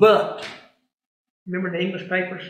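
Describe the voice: Strong room echo surrounds a man with a high pitch and a fairly bright tone. He keeps to a moderate pace with little pitch movement.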